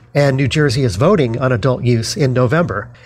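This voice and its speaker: A man speaks in an American accent at a fairly quick pace. His voice has vocal fry. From Denver, Colorado. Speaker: university lecturer and author. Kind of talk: interview.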